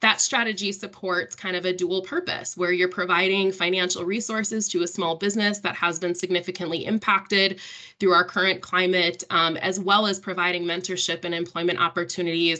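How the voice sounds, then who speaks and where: With a bright, sharp tone and medium pitch, a woman talks at a fairly quick pace with hardly any pauses and monotone, flat intonation against a quiet background. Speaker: workforce program manager. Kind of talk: panel discussion. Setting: video call. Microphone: video call.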